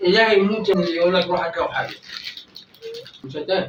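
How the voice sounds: Talking fast with lively intonation, a man with a high pitch for a man is heard amid audible room echo.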